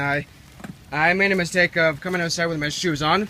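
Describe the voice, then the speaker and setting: Noticeable background noise behind a man with a fairly high pitch, fairly even intonation, and a moderate pace. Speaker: vlogger. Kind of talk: casual vlog. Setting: outdoors.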